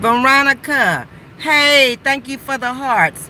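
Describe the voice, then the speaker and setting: A woman speaks in an animated tone. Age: 60s. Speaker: livestreamer. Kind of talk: casual chat. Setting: sitting in car by the roadside.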